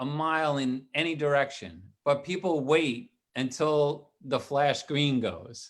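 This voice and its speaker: In a New York accent, the speaker goes at a fairly slow pace with ordinary pitch variation. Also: man, fairly high pitch for a man. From New York, Staten Island. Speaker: retired police detective and tech entrepreneur. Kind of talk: casual chat. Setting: live online show.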